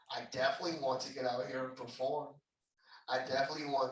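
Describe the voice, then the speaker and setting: A man speaks at a medium pitch. Audible room echo is present. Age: 20s. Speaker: performer. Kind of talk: interview. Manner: earnest.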